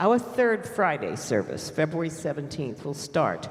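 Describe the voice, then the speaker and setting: A somewhat breathy man at a moderate pace, with lively intonation and audible room echo. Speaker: congregation lay leader. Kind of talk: congregational announcements. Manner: chatty, informal.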